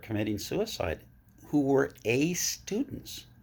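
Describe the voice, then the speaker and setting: A somewhat breathy voice with very wide pitch swings, in a very clean recording with a silent background. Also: man. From Vermont. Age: 70s. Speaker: interviewer. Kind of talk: casual chat.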